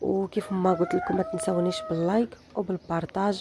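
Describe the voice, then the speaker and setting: A woman with an eastern Moroccan accent talks at a moderate pace and medium pitch, her pitch varying in an ordinary way over noticeable background noise. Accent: eastern Moroccan Darija. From eastern Morocco, Berkane. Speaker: vlogger. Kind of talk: travel vlog narration. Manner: casual, chatty.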